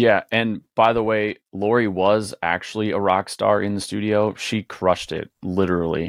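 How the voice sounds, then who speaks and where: A man with a plain, everyday voice speaks at a moderate pace in a fairly low pitch and fairly even intonation, recorded dry and close with no echo over a quiet background. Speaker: podcast co-host and producer. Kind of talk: casual podcast interview.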